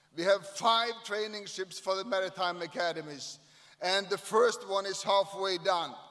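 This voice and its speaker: A man with a high pitch, fairly even intonation, and a moderate pace over noticeable background noise. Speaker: shipyard CEO. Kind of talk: ceremony speech. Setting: stage at event with audience.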